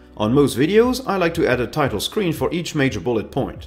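A man with a non-native accent speaks at a fairly quick pace over faint music in the background. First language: not English. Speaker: YouTuber. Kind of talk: scripted narration. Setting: home studio. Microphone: studio mic.

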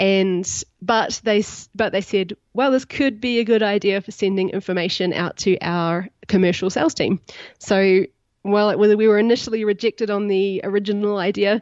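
With a New Zealand accent, a woman speaks at a moderate pace and medium pitch, keeping her intonation fairly even. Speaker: startup CEO and co-founder. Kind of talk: podcast interview.

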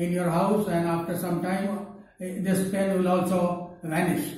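A man's high-pitched voice at a fairly slow pace, monotone and flat, with strong room echo. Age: 80s+. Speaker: patient giving testimonial. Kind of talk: testimony. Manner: halting. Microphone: lapel.

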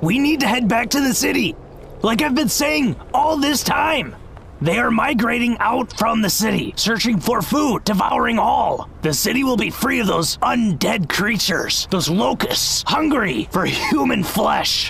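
Moderate pace amid clear background noise. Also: man, extremely high pitch for a man. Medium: machinima. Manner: insistent, dramatic.

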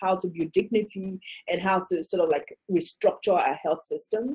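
Dark and mellow with a slightly husky edge, a woman's fairly low voice moves at a moderate pace with ordinary pitch variation.

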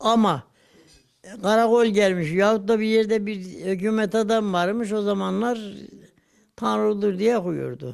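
A man with a high voice speaks fairly slowly, using ordinary pitch variation and long, frequent pauses. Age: 80s+. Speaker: centenarian recalling early Republic history. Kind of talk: interview answer, oral history recollection.

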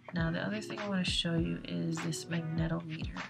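Clear music plays behind a soft-spoken woman who is mumbling. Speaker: space weather hobbyist. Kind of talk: casual screen-recording explainer. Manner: soft-spoken, mumbling. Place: home room.

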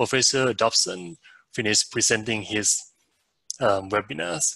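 Against a quiet background, a man with a fairly low pitch speaks at a fairly slow pace, the sound dry with no echo. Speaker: webinar host. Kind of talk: formal introduction and announcements. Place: home room. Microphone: headset.

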